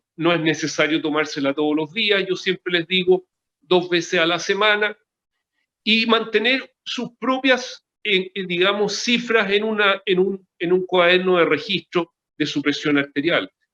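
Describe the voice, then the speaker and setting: A raised, projected voice with a bright, sharp tone moves at a fairly slow pace, the sound dry and close with no echo. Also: man, high pitch for a man, ordinary pitch variation. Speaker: cardiologist. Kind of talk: interview. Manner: halting.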